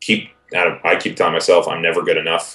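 The speech moves at a fairly quick pace against a quiet background. Audible room echo is present. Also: man. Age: 30s. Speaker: multimedia producer; interviewee. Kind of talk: interview. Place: home room. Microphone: video call.

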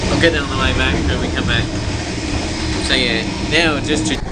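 The pace is moderate against loud background noise. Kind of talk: casual commentary. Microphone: phone near.

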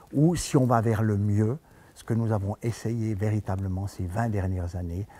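A somewhat breathy male voice at a fairly slow pace, ordinary pitch variation, dry sound with no echo. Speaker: sports coach, trainer. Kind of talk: interview answer. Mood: reflective, earnest. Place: hall. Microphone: headset.

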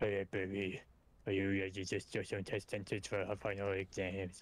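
A man's strained, put-on character voice at a fairly low pitch, moderate pace, monotone and flat, with very even loudness

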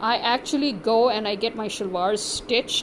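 Noticeable background noise behind a woman's moderate pace and ordinary pitch variation. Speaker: vlogger. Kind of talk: angry rant; consumer complaint. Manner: indignant, sarcastic; emphatic, repetitive. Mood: irritated, complaining. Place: home room. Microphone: phone near.

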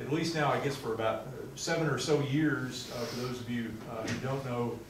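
A man speaks at a moderate pace with fairly even intonation. Audible room echo and noticeable background noise fill the recording. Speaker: lecture host introducing the speaker. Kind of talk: introduction speech. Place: classroom. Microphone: camera far.

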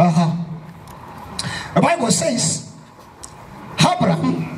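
An animated man's voice over light background noise. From Kenya. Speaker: pastor. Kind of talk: fervent evangelistic sermon at a youth rally, call-and-response. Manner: emphatic, repetitive preaching cadence; animated, prompting audience amens.

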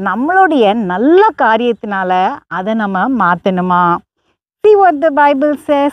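A woman in a dry sound with no echo over a quiet background. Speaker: preacher. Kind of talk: bilingual sermon storytelling, Tamil with English translation. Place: open country. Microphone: lapel.

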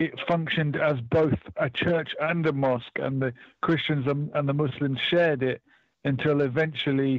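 In a dry sound with no echo and a quiet background, a man speaks with fairly even intonation. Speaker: radio caller. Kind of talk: phone-in conversation, personal travel account. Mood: calm, reflective storytelling. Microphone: phone line.

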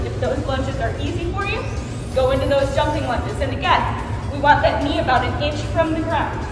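Fairly quick speech over clear background music, with audible room echo. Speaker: fitness instructor. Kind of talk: workout instruction. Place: gym. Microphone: camera far.

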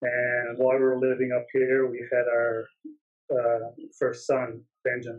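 A man speaks at a fairly slow pace in a Newfoundland accent. His pitch sits in the medium range, and his intonation stays flat and monotone. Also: quiet background. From Newfoundland, Canada. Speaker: photographer; interview guest. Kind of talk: interview. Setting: video call. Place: office. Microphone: webcam.

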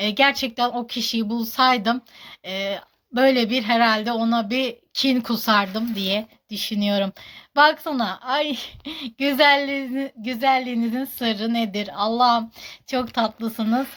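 A woman's fairly high voice at a very slow pace with fairly even intonation, in a very clean recording with a silent background. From Turkey, Kahramanmaraş. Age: 30s. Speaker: social media personality. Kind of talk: Q&A vlog. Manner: halting.

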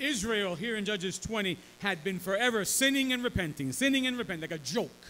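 Over light background noise, a man with a high pitch projects a raised voice at a fairly quick pace, his tone bright and sharp and his intonation lively. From New York City, Bronx (Puerto Rican family). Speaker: pastor. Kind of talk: sermon with live interpreter. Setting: church. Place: church. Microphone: podium.

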